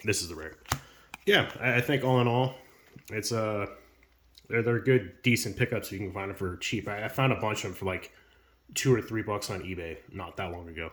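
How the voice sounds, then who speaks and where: A man's fairly low voice with ordinary pitch variation, big swings in loudness and long, frequent pauses. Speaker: YouTuber opening trading card packs. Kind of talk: casual unboxing commentary. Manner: fast; casual with many fillers.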